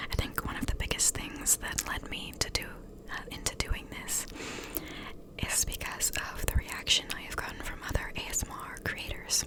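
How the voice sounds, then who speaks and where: Over noticeable background noise, a woman is whispering at a moderate pace. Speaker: ASMR creator. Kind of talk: casual talk to camera. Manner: soft-spoken, whispered.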